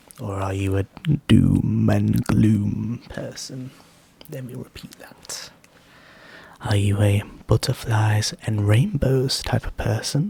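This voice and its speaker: A gentle tone at a very slow pace with long, frequent pauses. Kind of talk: ASMR whispered questions, rambling casual talk to camera. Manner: soft-spoken, gentle, rambling, conversational.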